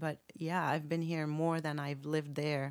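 Over a very clean recording with a silent background, a woman speaks with very deep, low pitch, fairly even intonation and a fairly slow pace. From Lebanon. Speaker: chef and restaurant owner. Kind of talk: casual interview.

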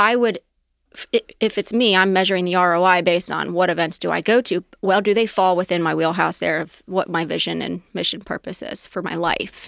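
A woman with an American accent at a medium pitch and fairly quick pace, with vocal fry and fairly even intonation, in a dry, close sound with no echo on a very clean recording with a silent background. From Ohio, Cincinnati area. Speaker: restaurant company executive. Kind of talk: interview conversation.

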